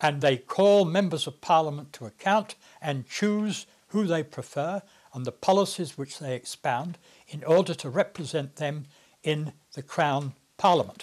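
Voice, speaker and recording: Speaking with a British accent, a man has a fairly high pitch and ordinary pitch variation. His pace is moderate, with big swings in loudness. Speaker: retired politician. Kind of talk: interview monologue. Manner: hesitant with frequent uh fillers.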